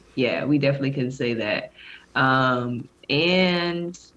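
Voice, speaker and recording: A woman's very deep, low voice in a Southern US accent, at a fairly slow pace. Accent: Southern-tinged American. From Bakersfield, California. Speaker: pro basketball player and podcaster. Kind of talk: casual interview chat.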